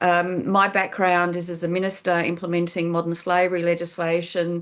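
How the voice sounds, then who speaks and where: A woman with an Australian accent speaks at a moderate pace with a fairly low pitch and monotone, flat intonation against a quiet background. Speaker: politician. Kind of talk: webinar presentation. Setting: online webinar.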